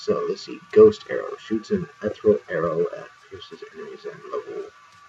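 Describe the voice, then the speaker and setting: A man talks at a moderate pace with big swings in loudness. Music plays in the background. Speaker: video game streamer. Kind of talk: gameplay commentary.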